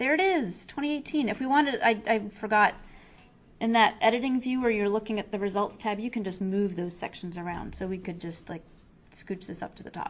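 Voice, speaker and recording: Ordinary pitch variation from a woman with a fairly high voice. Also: fairly quick pace. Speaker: software trainer. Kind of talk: tutorial. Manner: fast; casual, with fillers.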